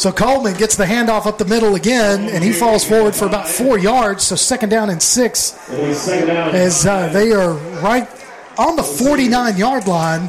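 Energetic in tone, a man talks at a high pitch and moderate pace with very even loudness amid noticeable background noise. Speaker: play-by-play announcer. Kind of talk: live sports commentary. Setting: stadium broadcast booth. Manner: brisk, energetic play-by-play calling.

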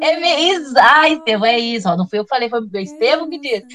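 A woman talks with very wide swings in pitch. There is noticeable noise in the background. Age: 40s. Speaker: history teacher and researcher. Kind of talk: casual chat.

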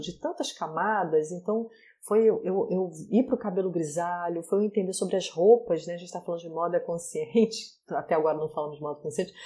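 A woman's dark, mellow tone at medium pitch, with ordinary pitch variation. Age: 40s. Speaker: style consultant and digital influencer. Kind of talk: casual chat.

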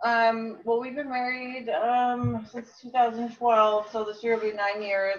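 A woman with a plain, everyday voice speaks at a fairly slow pace, her fairly high pitch held in fairly even intonation. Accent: American. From Phoenix, Arizona. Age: 40s. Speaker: interview guest. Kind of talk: casual chat.

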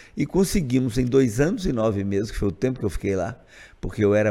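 A man's dark, mellow tone comes through on a very clean recording where the background is silent. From Brazil, Montes Claros, Minas Gerais. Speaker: state legislator and physician. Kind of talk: casual interview.

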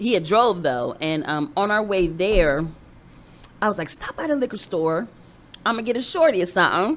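A woman speaks at a medium pitch, her voice swinging very widely up and down. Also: moderate pace. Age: 40s. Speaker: comedian. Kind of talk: casual chat.

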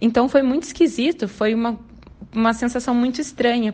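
A woman speaks at a moderate pace. Her pitch sits high. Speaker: fan contributor. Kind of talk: recorded testimony.

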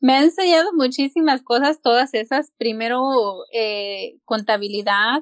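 The woman's voice comes across dry and close, without any echo. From Mexico, rural Hidalgo. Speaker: entrepreneur and homemaker. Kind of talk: interview.

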